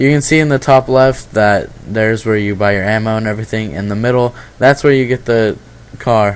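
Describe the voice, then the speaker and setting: A man's medium-pitched voice, with ordinary pitch variation, moves at a fairly quick pace. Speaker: gaming video commentator. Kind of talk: trailer commentary. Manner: fast.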